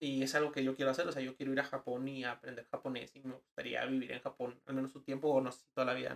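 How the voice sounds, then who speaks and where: The speech races along at a very fast pace with hardly any pauses. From Mexico, Ciudad Juárez. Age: 20s. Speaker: advertising professional and gamer. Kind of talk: casual chat.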